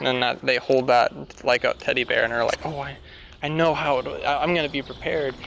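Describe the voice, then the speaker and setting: Noticeable background noise surrounds a man talking at a fairly quick pace. His pitch is fairly high. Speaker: podcaster. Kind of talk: casual monologue. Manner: halting, many restarts.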